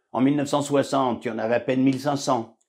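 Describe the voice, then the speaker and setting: Speaking at a fairly quick pace, the man has a dark, mellow tone. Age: 70s. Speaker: author. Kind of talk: book presentation talk to camera. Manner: conversational, with fillers.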